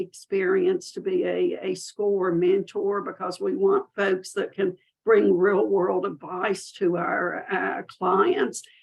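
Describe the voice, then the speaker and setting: Speaking at a very slow pace, a woman talks with a Southern US accent. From US South. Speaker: business mentor and marketing speaker. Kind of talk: webinar presentation. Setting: webinar. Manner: friendly, folksy.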